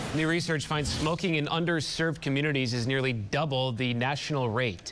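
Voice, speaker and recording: At medium pitch and a fairly quick pace, a man uses an ordinary speaking voice with ordinary pitch variation. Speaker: TV news anchor. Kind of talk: news reading. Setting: TV studio. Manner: formal, measured newscaster delivery.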